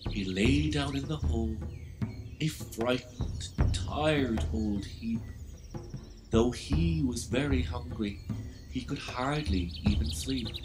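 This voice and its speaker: A very deep, low male voice with very wide pitch swings, a very slow pace, long, frequent pauses and music in the background. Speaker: author reading his own book. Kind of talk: children's rhyming story narration.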